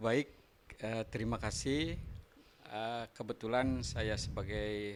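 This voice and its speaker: The pace of this speech is very slow. Pitch variation is ordinary. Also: man. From West Java (Tasikmalaya, Sundanese). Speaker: university lecturer and workshop speaker. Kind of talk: radio interview.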